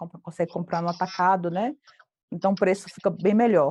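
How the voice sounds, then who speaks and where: Her dark, mellow tone comes through dry and close with no echo as this woman speaks with ordinary pitch variation. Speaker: accounting teacher. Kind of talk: online class.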